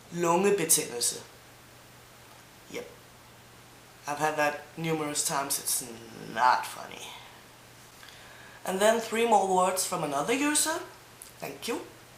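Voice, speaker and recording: A woman's fairly low voice at a fairly slow pace, with very wide pitch swings, big swings in loudness, long, frequent pauses, audible room echo and noticeable background noise. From Denmark, Zealand. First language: Danish. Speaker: language teacher vlogger. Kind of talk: language tutorial. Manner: mumbling a bit.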